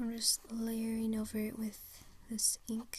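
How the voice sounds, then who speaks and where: A soft-spoken voice at a very slow pace. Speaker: hobby ASMR creator. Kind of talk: soft-spoken ASMR drawing video. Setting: indoors, washing machine in background.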